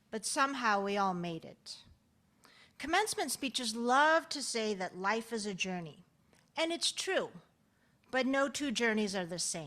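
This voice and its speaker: A woman talks with lively intonation and a bright, sharp tone. The recording is very clean, with a silent background. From Netherlands, raised in San Francisco Bay Area. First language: Dutch. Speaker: physical therapist. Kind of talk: commencement speech.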